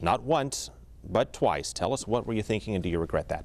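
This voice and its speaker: The voice has vocal fry. Its intonation is lively. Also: man. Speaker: TV news host. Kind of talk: news narration; TV interview. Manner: pressing.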